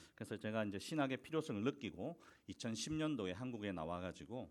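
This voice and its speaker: A man with a Busan accent at a fairly quick pace, on a very clean recording with a silent background. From South Korea, Busan. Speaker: missionary preacher. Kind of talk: sermon. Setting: church.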